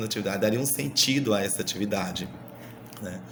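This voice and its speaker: With a strong Minas Gerais accent, a man speaks at medium pitch amid audible room echo and noticeable background noise. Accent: strong Minas Gerais (mineiro). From Brazil, Minas Gerais. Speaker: university student. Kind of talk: recorded class presentation. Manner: halting, many repetitions and fillers.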